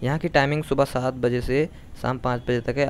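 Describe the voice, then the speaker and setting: Light background noise is present. The man moves along at a fairly quick pace. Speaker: travel vlogger. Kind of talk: casual vlog chat, tour guide style. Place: open country. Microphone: phone near.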